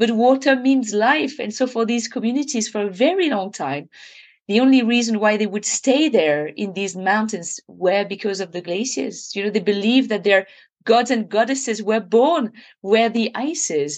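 Against a quiet background, a woman speaks at a moderate pace in a fairly high pitch with lively intonation. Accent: French. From French Alps (Annecy). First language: French. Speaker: glaciologist. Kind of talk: interview. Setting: remote call.

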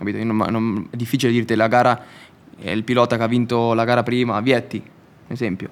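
At a fairly quick pace, a man talks in a plain, everyday voice at medium pitch. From Italy. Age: young. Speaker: motorcycle racer. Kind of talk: casual interview.

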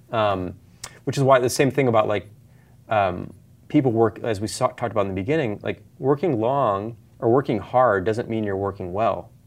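Speaking at a moderate pace, a man with an American accent has an unremarkable speaking voice. His pitch variation is ordinary. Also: medium pitch for a man. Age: 40s. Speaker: author and software company founder. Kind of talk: casual interview.

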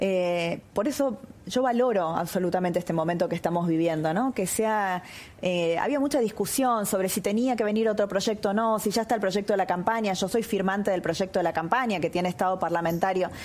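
A woman's normal speaking voice at a medium pitch, fairly quick in pace, with very even loudness and ordinary pitch variation. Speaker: politician. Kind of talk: interview.

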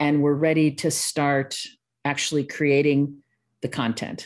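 A woman with a slight Midwestern accent and a very deep, low pitch, speaking at a very slow pace against a quiet background. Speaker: online course designer and consultant. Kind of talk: podcast interview.

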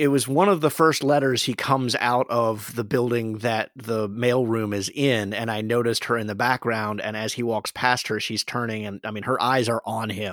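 At a moderate pace and medium pitch, a man talks with hardly any pauses and fairly even intonation. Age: 40s. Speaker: podcast host. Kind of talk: casual chat.

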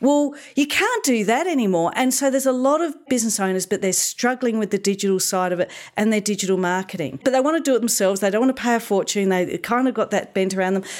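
A woman with an Australian accent, fairly high-pitched, very fast, with lively intonation. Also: very clean recording, silent background. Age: 50s. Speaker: digital marketing consultant. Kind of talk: interview. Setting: studio.

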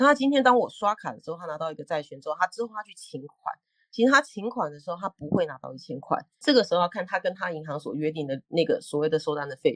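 A very fast woman's voice, fairly low in pitch, with very wide pitch swings, big swings in loudness, and a dry, close sound with no echo. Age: 40s. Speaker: law professor researching payments. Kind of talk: explanatory lecture-style chat.

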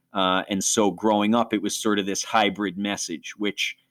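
An unremarkable speaking voice with an American accent moves at a fairly quick pace. The recording is very clean, with a silent background. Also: man. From Western New York. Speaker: ministry leader and co-host. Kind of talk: testimony, personal storytelling.

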